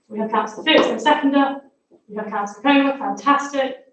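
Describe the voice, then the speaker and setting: A woman speaks quietly with fairly even intonation. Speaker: council meeting chair. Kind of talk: formal meeting chairing. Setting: council chamber, livestreamed. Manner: fast.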